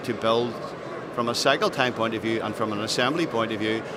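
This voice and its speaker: Noticeable background noise sits behind a man speaking with a Northern Irish accent. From Northern Ireland. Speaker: aerospace business executive. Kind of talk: trade show interview. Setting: trade show floor. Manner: hesitant, many fillers.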